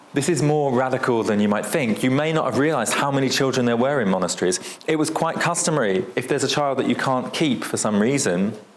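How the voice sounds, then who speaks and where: There is noticeable background noise and audible room echo as a man with a British accent talks at a very fast pace, with hardly any pauses. His voice sits at a medium pitch, and his tone is animated. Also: ordinary pitch variation, very even loudness. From United Kingdom. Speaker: historian, lecturer. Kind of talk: lecture. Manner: conversational, animated.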